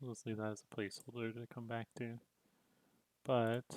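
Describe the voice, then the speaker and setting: A man mumbles quietly. The sound is dry and close, with no echo. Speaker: game developer streamer. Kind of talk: live coding stream. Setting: livestream. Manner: quiet mumbling.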